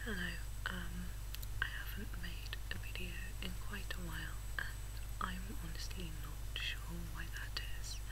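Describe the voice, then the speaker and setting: Loud background noise fills the clip while a woman talks at a fairly slow pace. She leaves long, frequent pauses. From England. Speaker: ASMR video maker. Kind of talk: ASMR soft-spoken unboxing.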